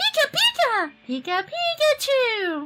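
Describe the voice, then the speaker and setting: A squeaky, put-on character voice sits at an extremely high pitch with very wide pitch swings. It moves at a fairly slow pace. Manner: cute, cheerful.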